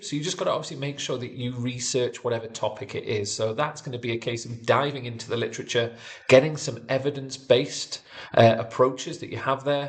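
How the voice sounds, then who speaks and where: Speaking very fast with a Geordie accent, a man uses a medium-pitched voice. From northern England, Newcastle area. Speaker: sports physiotherapy educator. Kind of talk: online tutorial. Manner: few pauses.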